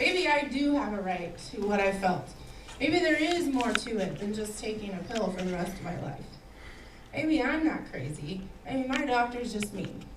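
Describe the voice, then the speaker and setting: A woman with a fairly high pitch speaks at a moderate pace with very wide pitch swings. Noticeable background noise and audible room echo are present. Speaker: cancer survivor sharing her story. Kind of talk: speech to event audience.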